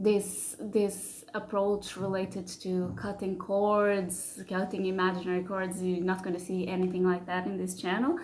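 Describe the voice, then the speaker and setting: With hardly any pauses, a woman with a non-native accent speaks at a medium pitch in a monotone, flat intonation, with audible room echo around her. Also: fairly slow pace. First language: not English. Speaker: spiritual channel creator. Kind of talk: casual monologue to camera. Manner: halting, many fillers and repeats.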